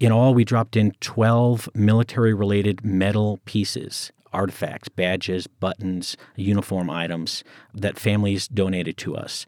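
In a very clean recording with a silent background and a dry, close sound with no echo, a man with an American accent speaks at a moderate pace in an unremarkable speaking voice, his pitch fairly low and his intonation fairly even. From US, Colorado. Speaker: veteran advocate. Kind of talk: interview.

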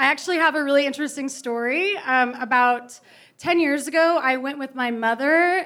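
A woman with an American accent speaks at a high pitch and a moderate pace, her tone bright and sharp and her pitch varying in an ordinary way. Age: 30s. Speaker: novelist. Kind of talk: interview at live book event. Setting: bookstore stage with audience.

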